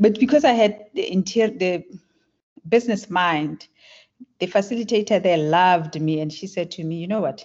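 A woman speaks with a South African accent at a fairly quick pace. Her pitch is medium, with ordinary pitch variation. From South Africa (Klerksdorp). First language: Tswana. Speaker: tech entrepreneur. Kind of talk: interview.

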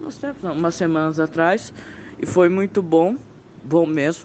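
A high-pitched male voice, with noticeable background noise around it. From Campo Grande, Mato Grosso do Sul, Brazil. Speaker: beginner comedian. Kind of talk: voice message.

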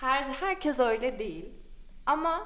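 A woman at a high pitch with very wide pitch swings and audible room echo. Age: 20s. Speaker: designer. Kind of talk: casual chat.

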